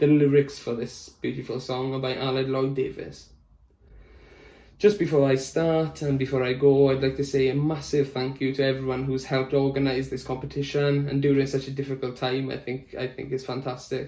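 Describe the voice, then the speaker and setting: Speaking in a Welsh accent, a man delivers his words at a fairly quick pace with a dark, mellow tone and monotone, flat intonation. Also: medium pitch for a man. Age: young. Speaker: music student and tenor singer. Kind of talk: prepared self-introduction.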